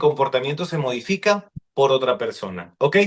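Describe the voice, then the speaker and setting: This man talks with lively intonation. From Mexico, Sonora (Hermosillo area). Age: 30s. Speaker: psychologist. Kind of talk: podcast interview.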